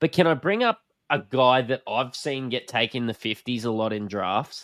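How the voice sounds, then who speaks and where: A man with a strong Australian accent, medium pitch and lively intonation, in a dry, close sound with no echo against a quiet background. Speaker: podcast host. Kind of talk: casual chat. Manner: casual, joking.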